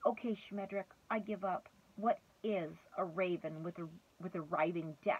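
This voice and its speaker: A woman speaks in a gravelly, put-on character voice at medium pitch and a moderate pace. Her intonation stays fairly even, broken by long, frequent pauses. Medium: read story. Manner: jeering.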